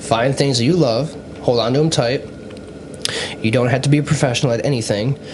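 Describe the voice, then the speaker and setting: Over noticeable background noise and audible room echo, a man speaks very fast. His pitch varies in an ordinary way. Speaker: podcast host. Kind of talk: casual chat.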